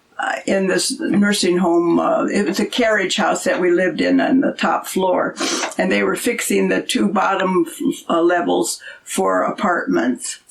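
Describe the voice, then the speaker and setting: Noticeable background noise runs under this recording. A woman speaks at a fairly slow pace with very even loudness. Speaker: host's mother, storyteller. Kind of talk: casual storytelling interview. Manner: soft-spoken.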